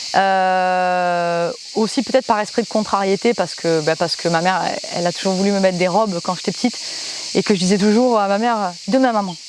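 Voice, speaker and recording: Noticeable background noise runs under a woman speaking at a fairly quick pace with a medium pitch. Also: fairly even intonation. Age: 30s. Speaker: musician and singer, footballer. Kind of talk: interview testimony. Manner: halting, many hesitations.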